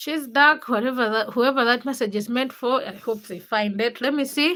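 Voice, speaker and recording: Set high in pitch, a woman's voice has a bright, sharp tone. She talks at a moderate pace with ordinary pitch variation. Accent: Ugandan. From Uganda. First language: not English, a Ugandan language. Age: 20s. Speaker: livestreamer. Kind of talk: casual livestream chat reading comments. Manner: casual, chatty with hesitations.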